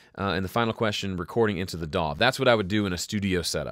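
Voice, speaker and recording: In a very clean recording with a silent background, a man with a Southern US accent speaks very fast in a very deep, low voice with ordinary pitch variation. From US South. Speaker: music producer and home studio educator. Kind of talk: live stream Q&A. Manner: casual, conversational.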